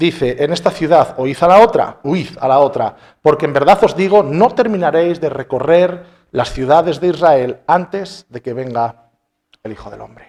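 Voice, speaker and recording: A man speaks at a moderate pace in a plain, everyday voice, his fairly high pitch carried by lively intonation and big swings in loudness. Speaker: pastor. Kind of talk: sermon.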